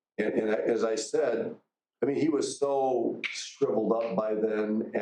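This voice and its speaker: Some room echo can be heard as a man talks. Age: 60s. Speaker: college teacher. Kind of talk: lecture. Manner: halting.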